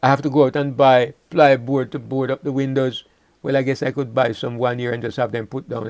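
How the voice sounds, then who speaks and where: Speaking at a fairly quick pace, a man delivers his words in a flat monotone at a medium pitch. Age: 70s. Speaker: Bible teacher. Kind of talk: Bible study webinar. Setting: online webinar. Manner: halting, with many repetitions.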